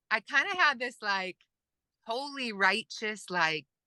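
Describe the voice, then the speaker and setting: A woman's bright, sharp voice, dry and close with no echo, against a quiet background. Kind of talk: interview.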